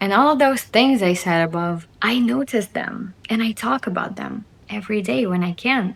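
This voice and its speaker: A woman of medium pitch speaks at a fairly slow pace in an animated tone with lively intonation. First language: Russian. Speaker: video blogger. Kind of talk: casual monologue to camera.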